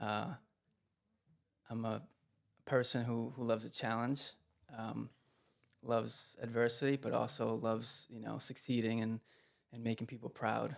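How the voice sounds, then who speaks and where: In a very clean recording with a silent background, a man speaks at a moderate pace in a medium pitch. His delivery is monotone and flat, with long, frequent pauses. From Providence, Rhode Island. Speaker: real estate investor. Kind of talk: interview. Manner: calm.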